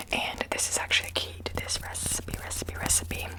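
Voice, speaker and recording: Someone whispers at a fairly quick pace. Noticeable background noise runs beneath the voice. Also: woman. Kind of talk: ASMR baking video talk to camera. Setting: kitchen. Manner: whispered, soft-spoken.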